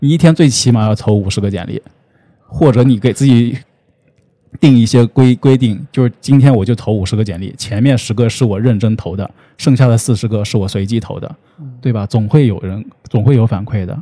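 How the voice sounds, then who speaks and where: With an unremarkable speaking voice, a man talks at medium pitch and ordinary pitch variation. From Shanxi, northern China. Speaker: internet company business professional. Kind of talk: casual interview.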